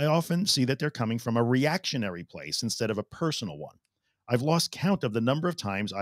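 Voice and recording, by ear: Over quiet surroundings, the intonation is lively as the speaker reads aloud in a natural voice.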